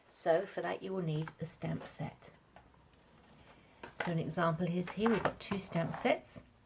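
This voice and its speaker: A woman's fairly low voice at a fairly slow pace, with long, frequent pauses, fairly even intonation and noticeable background noise. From UK. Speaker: craft demonstrator. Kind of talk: tutorial. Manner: casual, with frequent fillers.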